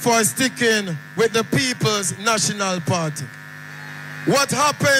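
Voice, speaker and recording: A man with a Jamaican accent speaks in a raised, projected voice at a fairly slow pace. His high pitch swings very widely over music in the background. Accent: Jamaican Patois. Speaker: rally MC. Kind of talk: rally speech.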